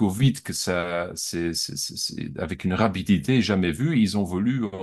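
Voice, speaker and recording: A fairly low male voice with lively intonation, a fairly slow pace and hardly any pauses. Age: 40s. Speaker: art dealer. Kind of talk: interview. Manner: halting, many repetitions.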